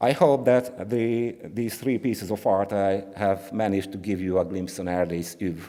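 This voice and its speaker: A man's dark, mellow voice with a Hungarian accent, hardly any pauses, ordinary pitch variation and a moderate pace. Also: fairly low pitch for a man. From Hungary. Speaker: art historian. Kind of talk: conference talk. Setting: conference with audience. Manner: halting; reading from script.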